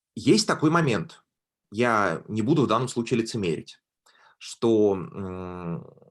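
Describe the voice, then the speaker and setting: With lively intonation and a medium pitch, a man speaks very slowly and pauses often and at length. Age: 20s. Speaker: graduate student speaking to school pupils. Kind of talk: online talk. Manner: hesitant, with fillers.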